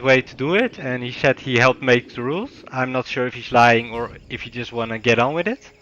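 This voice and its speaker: Speaking at a fairly quick pace, a man with a non-native accent talks at a medium pitch. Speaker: game caster. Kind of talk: live commentary.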